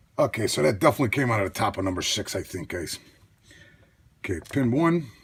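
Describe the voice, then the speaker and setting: This man's voice is somewhat breathy and medium in pitch. He talks at a moderate pace. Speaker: lockpicking hobbyist youtuber. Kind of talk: tutorial. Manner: casual, self-talking.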